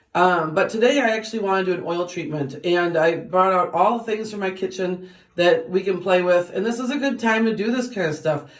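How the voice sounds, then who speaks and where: With hardly any pauses and ordinary pitch variation, the voice moves at a fairly quick pace over noticeable background noise and audible room echo. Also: woman, medium pitch for a woman. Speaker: beauty vlogger. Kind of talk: tutorial. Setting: bathroom. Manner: fast; casual, with many fillers.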